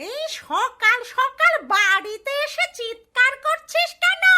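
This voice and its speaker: In a cartoonish character voice, a woman squeaks at an extremely high pitch with very wide pitch swings and a fairly slow pace. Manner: haughty, scornful.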